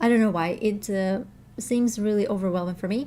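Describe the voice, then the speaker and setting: A woman speaks with a Russian accent at medium pitch. Her tone is dark and mellow, with fairly even intonation. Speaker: language teacher and learner vlogger. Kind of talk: casual vlog update. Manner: halting, many fillers and restarts.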